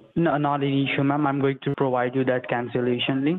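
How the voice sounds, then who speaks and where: A man with an ordinary speaking voice, fairly high in pitch, at a fairly quick pace with fairly even intonation. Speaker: phone scammer posing as tech support. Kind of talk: scripted customer-service talk. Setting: phone call.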